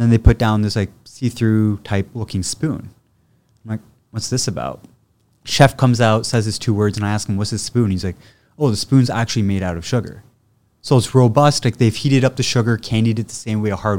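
Speaking with a Canadian accent, a man has an unremarkable speaking voice, fairly low in pitch, at a fairly quick pace. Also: ordinary pitch variation, very clean recording, silent background. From Ottawa, Canada. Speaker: chef. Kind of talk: casual interview chat.

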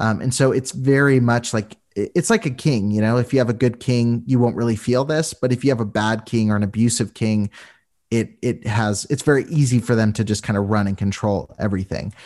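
An ordinary speaking voice: a man of medium pitch, fairly quick pace, ordinary pitch variation, very even loudness, and a very clean recording with a silent background. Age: 20s. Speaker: podcast guest, abuse awareness advocate and storyteller. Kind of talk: casual interview conversation.

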